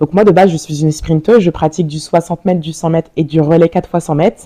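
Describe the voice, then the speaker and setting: A woman speaks at a very fast pace in a fairly low pitch, with a dark, mellow tone. Her intonation is monotone and flat, and the sound is dry and close with no echo. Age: 30s. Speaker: olympic sprinter and entrepreneur. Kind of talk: interview. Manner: hesitant, many fillers.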